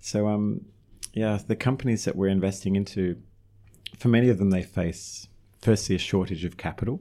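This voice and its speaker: Dark and mellow in tone, a man with an Australian accent speaks at a moderate pace and a fairly low pitch, with fairly even intonation and long, frequent pauses, on a very clean recording with a silent background. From Australia (Melbourne). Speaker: real estate investment executive. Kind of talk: interview.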